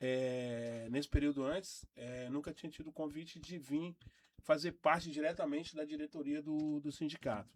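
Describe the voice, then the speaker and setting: Moderate pace and fairly even intonation from a man with a fairly high pitch. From Brazil, Porto Velho, Rondônia. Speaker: nurse and union leader. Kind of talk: radio interview. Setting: radio studio. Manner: halting.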